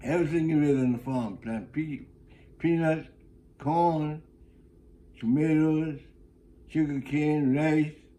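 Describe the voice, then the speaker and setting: A man with an American accent and a dark, mellow tone, heard with audible room echo. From South Carolina Sea Islands (St. Helena, Gullah area). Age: 90s. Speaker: retired greeter and former student. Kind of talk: life story interview. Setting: at his home. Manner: halting, with repetitions and false starts.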